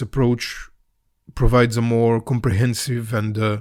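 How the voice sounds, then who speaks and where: A man's medium-pitched, monotone voice in a Balkan accent, flat in intonation, at a moderate pace, on a very clean recording with a silent background. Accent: Balkan Slavic. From Macedonia. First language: Serbian or Macedonian. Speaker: author and YouTuber on Slavic mythology. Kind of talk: scripted podcast monologue. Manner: some hesitations and fillers.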